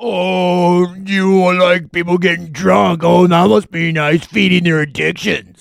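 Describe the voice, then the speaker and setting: Using a put-on character voice, a man talks at a high pitch and a fairly slow pace with hardly any pauses. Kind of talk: sarcastic. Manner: snide, mocking.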